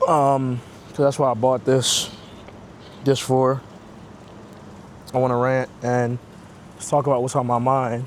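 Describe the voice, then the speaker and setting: Someone with a New York accent speaks at a fairly slow pace with long, frequent pauses. The intonation is monotone and flat. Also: man, medium pitch for a man. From New York (Queens). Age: 30s. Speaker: digital marketer, vlogger. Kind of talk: casual rant vlog. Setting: outdoors, walking. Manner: casual, conversational.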